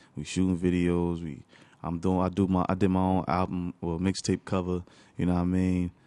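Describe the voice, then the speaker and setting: Over a quiet background, a man with an American accent speaks in a very deep, low pitch with a dark, mellow tone and monotone, flat intonation. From Newark, New Jersey. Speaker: musician. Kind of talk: casual chat.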